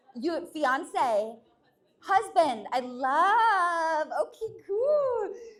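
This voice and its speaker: In a room with audible echo, a woman speaks in an animated tone at an extremely high pitch with very wide pitch swings. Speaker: stand-up comedian. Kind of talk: stand-up. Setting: stage with audience. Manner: fast.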